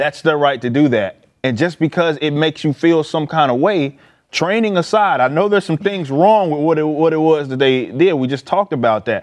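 With an American accent, a man speaks in an unremarkable speaking voice at a fairly high pitch and a fairly quick pace, with ordinary pitch variation, hardly any pauses and a quiet background. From Dallas, Texas (Oak Cliff). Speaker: political commentator. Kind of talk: casual panel discussion.

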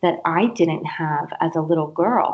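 A fairly low-pitched woman with an East Coast accent at a fairly slow pace. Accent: American (East Coast). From US East Coast. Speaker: career coach. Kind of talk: interview.

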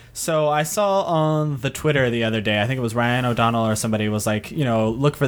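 At a fairly quick pace, a man with a normal speaking voice talks in a medium pitch with ordinary pitch variation. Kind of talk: casual chat.

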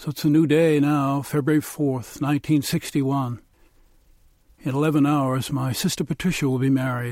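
A man with an American accent, flat monotone delivery and a fairly slow pace, on a very clean recording with a silent background. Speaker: storyteller. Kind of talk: storytelling.

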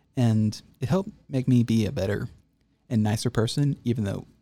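A dark, mellow, somewhat breathy voice with an American accent and ordinary pitch variation. The recording is very clean, with a silent background. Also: man. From North Texas. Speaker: linguistics graduate. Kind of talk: interview.

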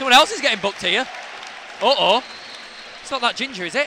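An extremely high-pitched man at a very fast pace with lively intonation, crowd noise behind him. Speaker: football fan podcast co-host. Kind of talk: casual chat.

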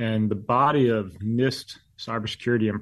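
Against a quiet background, a man speaks with an unremarkable speaking voice at medium pitch and with fairly even intonation. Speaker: government cybersecurity official. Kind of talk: interview.

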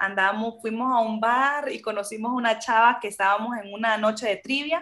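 A woman with a Honduran accent, fairly high-pitched, at a moderate pace with fairly even intonation. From Honduras. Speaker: Spanish teacher. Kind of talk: interview.

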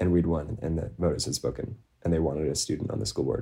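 A man with an American accent speaks at a fairly quick pace, his pitch very deep and low with ordinary variation. His tone is dark and mellow, with vocal fry. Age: young. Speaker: student school board member and activist. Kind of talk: interview. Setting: remote recording.

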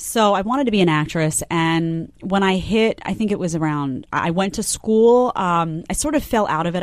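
Speaking at a moderate pace with hardly any pauses, a woman with an American accent has an unremarkable speaking voice, fairly low in pitch, with ordinary pitch variation. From New York, Staten Island. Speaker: TV news commentator. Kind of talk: interview.

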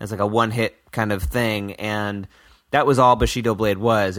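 Using a plain, everyday voice, a man speaks at a moderate pace with fairly low pitch and fairly even intonation. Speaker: musician who made the show's theme song. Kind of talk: casual chat.

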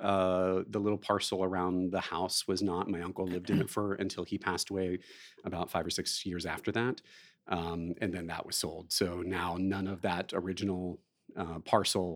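A man with an American accent speaks in a very deep, low pitch. His intonation is monotone and flat. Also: moderate pace. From southeastern Ohio, rural. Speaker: actor and director. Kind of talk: interview. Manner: halting.

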